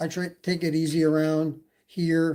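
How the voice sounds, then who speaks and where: A man has a fairly high pitch and a dark, mellow tone. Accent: slight Canadian. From Canada, Toronto. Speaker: e-bike YouTuber. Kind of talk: casual livestream chat. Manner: hesitant, many fillers.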